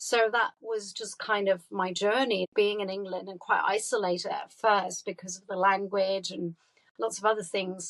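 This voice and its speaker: At a moderate pace, a woman with medium pitch speaks in a flat monotone, her loudness swinging widely. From Germany. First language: German. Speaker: artist and dancer. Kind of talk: interview.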